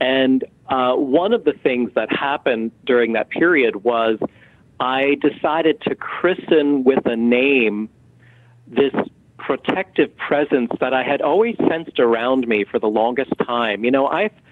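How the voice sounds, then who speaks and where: An ordinary speaking voice from a man at medium pitch, fairly slow, with ordinary pitch variation. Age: 50s. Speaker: author and medium. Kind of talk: interview.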